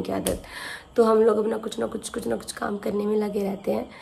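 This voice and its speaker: With noticeable background noise, a woman speaks at a moderate pace. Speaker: vlogger. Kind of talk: casual vlog talk to camera.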